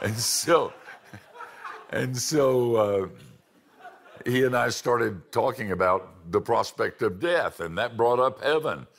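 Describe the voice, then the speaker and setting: A man speaks at a very slow pace with lively intonation. His speech has long, frequent pauses. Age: old. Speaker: preacher. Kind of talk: sermon. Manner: animated. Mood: warm, humorous, personal. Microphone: lapel.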